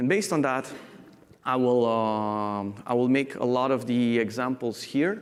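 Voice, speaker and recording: There is audible room echo as a man talks at medium pitch with ordinary pitch variation and very even loudness. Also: fairly slow pace. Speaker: software architect. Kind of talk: conference talk.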